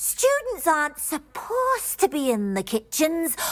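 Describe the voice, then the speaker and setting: A put-on character voice with very wide pitch swings. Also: female-sounding voice, extremely high pitch for a woman, moderate pace. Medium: video game. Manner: refers to herself in third person.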